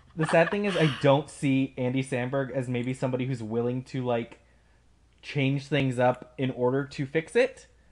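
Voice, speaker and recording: A man with an ordinary speaking voice talks at a moderate pace, his pitch medium and his intonation fairly even. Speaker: podcast host. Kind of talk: casual chat.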